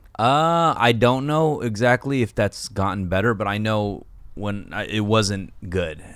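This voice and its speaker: A man with an American accent and a fairly low voice is heard in a very clean recording with a silent background. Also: fairly slow pace. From Los Angeles (Koreatown), US. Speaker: podcast host and rapper. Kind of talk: casual chat. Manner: stoic.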